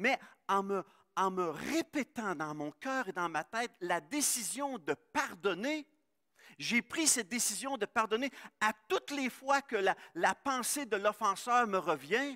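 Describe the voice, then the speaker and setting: A man with a high, bright, sharp voice projects it at a very slow pace, his pitch swinging very widely. The recording is dry and close with no echo, very clean against a silent background. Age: 60s. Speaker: pastor. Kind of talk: sermon. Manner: halting.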